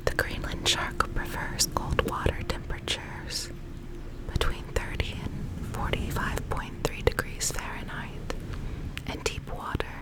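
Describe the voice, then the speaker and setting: A woman whispering at a fairly slow pace, with noticeable background noise. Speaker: ASMR creator. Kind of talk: ASMR educational facts narration. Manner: whispered.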